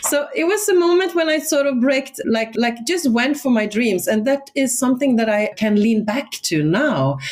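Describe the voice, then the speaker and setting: This woman talks at a moderate pace in a Swedish accent. Her pitch is high and swings very widely. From northern Sweden, Swedish Lapland. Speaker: educator and education entrepreneur. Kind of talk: podcast interview. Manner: animated.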